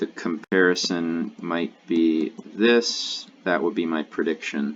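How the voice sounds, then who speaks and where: This man's voice sits at a very deep, low pitch. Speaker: LSAT tutor. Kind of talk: tutorial. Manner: halting; mumbling.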